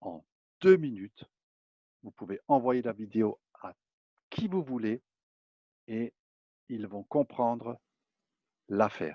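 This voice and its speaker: A man at a medium pitch speaks very slowly with long, frequent pauses, his intonation lively and his loudness swinging widely. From eastern France. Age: 50s. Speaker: network marketing presenter. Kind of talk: sales pitch. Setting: public online presentation.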